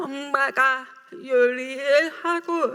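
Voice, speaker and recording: A woman speaks with ordinary pitch variation. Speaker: writer, deaf speaker. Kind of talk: public talk.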